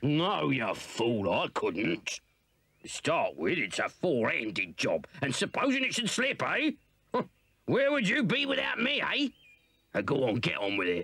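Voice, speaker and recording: The voice is gruff and moves at a fairly slow pace. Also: man. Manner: blustering, scheming, bossy.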